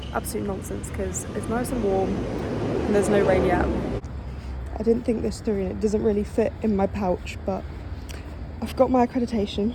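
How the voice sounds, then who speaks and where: Amid noticeable background noise and audible room echo, a woman talks at a moderate pace with long, frequent pauses. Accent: English. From England. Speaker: sports journalist and vlogger. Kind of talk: travel vlog. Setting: outdoors. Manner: casual, chatty.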